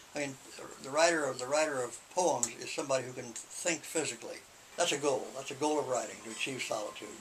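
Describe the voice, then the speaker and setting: A man talks very fast with fairly even intonation. Noticeable background noise sits behind him. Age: 70s. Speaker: poet and writer, retired writing teacher. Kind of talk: interview. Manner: halting, many repetitions.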